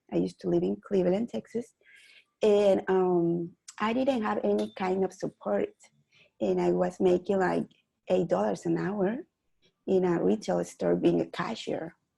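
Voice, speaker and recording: With a Mexican accent, a woman talks at a moderate pace, leaving long, frequent pauses. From Mexico City, Mexico. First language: Spanish. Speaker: real estate investor. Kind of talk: interview guest. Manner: halting, with hesitations.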